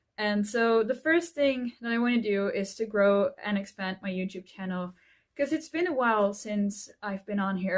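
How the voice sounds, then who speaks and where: Speaking with a Dutch accent at a fairly slow pace, a woman uses a fairly high pitch in a very clean recording with a silent background. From Netherlands. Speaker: author and YouTuber. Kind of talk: casual vlog. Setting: at home in front of bookshelf.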